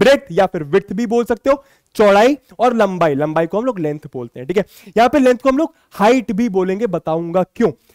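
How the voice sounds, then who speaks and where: Recorded dry and close with no echo, a man talks at a moderate pace and his pitch swings very widely. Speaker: maths teacher. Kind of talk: lecture. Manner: animated.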